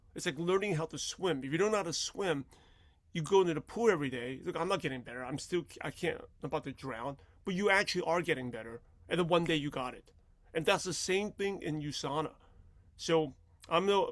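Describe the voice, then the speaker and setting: A man talks in an animated tone at a fairly quick pace, his fairly high pitch showing ordinary variation. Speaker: network marketing mentor. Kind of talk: motivational talk. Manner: fast.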